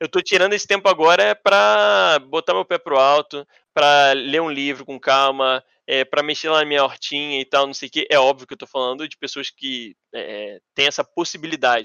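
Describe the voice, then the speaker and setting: A man with a normal speaking voice and fairly high pitch talks at a moderate pace with hardly any pauses, ordinary pitch variation and big swings in loudness. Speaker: podcast host. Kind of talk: casual livestream chat. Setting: live stream.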